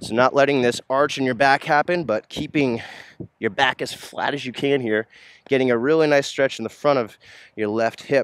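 In a plain, everyday voice, a man talks at a moderate pace and medium pitch with fairly even intonation, the sound dry and close with no echo. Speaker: yoga instructor. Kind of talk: guided yoga workout instruction, calm and clear cues. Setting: outdoors, filming at a park. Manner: steady, instructional, relaxed with a few filler words.

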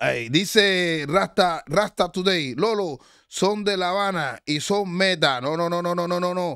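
The voice has a bright, sharp tone and ordinary pitch variation, moving at a very slow pace with hardly any pauses, in a dry sound with no echo and a quiet background. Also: man, high pitch for a man. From Cuba, Havana; Cuba. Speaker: online show host. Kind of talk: live stream chat and commentary. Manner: animated. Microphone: studio mic.

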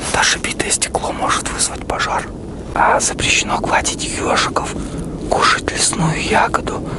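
A man at a fairly slow pace, dry with no echo, over loud background noise. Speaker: vlogger. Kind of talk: casual comedic vlog chat.

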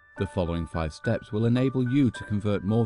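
Music plays in the background as a man speaks at a very fast pace. His fairly low voice carries lively intonation. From British. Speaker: voice actor. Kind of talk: corporate narration.

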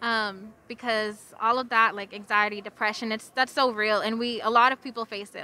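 At a moderate pace, a woman speaks at medium pitch in a bright, sharp tone with fairly even intonation.

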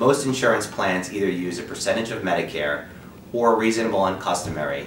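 A man at a fairly quick pace amid audible room echo and light background noise. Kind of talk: scripted informational presentation. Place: office.

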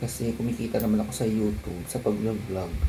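A man talks at a moderate pace in a medium pitch with ordinary pitch variation. Audible room echo and noticeable background noise surround him. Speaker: vlogger. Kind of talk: vlog talking to camera. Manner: casual, chatty.

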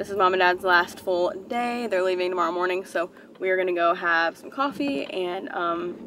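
The tone is bright and sharp, with ordinary pitch variation. The pace is moderate, and faint background noise can be heard. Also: woman, fairly low pitch for a woman.

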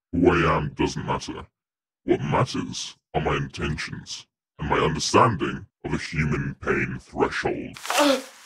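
A man does a put-on character voice that is raspy and very deep, with a very low pitch. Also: fairly slow pace. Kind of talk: comic parody of a horror villain. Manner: pompous, theatrical, easily flustered.

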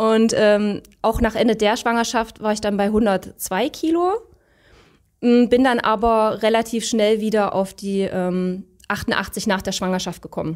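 Speech comes at a very slow pace with ordinary pitch variation. The background is quiet. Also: woman, fairly high pitch for a woman. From Saxony, eastern Germany (Leipzig); Saxony. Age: 30s. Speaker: coaching client. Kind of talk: interview. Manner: hesitant, many fillers. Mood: relaxed, smiling. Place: studio. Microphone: handheld.

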